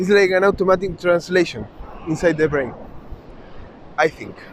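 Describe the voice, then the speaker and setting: A man speaks with a Spanish accent. Noticeable background noise runs underneath. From South America (Chile/Uruguay). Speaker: travel vlogger. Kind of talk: vlog monologue. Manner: halting, many restarts.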